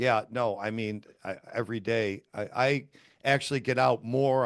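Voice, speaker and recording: A plain, everyday voice from a man at medium pitch, with ordinary pitch variation, on a very clean recording with a silent background. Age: 50s. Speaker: podcast host. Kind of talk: casual chat.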